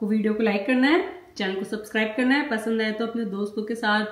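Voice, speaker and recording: Delivered at a moderate pace with ordinary pitch variation, the speech carries audible room echo. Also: woman. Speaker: family vlogger. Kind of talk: casual vlog chat. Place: kitchen. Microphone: camera far.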